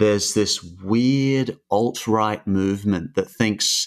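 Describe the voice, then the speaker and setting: A man's very slow speech with ordinary pitch variation and an Australian accent. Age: 30s. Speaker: YouTube cartoon creator. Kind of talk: casual interview. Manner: halting, many fillers.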